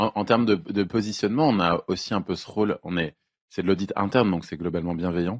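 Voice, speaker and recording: A man with an unremarkable speaking voice talks at a fairly quick pace in a fairly low pitch with ordinary pitch variation, the sound dry and close with no echo. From France, Lyon and Burgundy. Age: 20s. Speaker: economist, internal auditor. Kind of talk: casual podcast chat.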